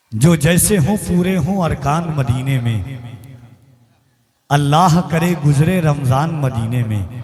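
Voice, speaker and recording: A man's lively intonation, with audible room echo. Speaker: stage announcer at religious gathering. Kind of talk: stage compering with poetry. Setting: stage with audience, PA system. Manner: declamatory.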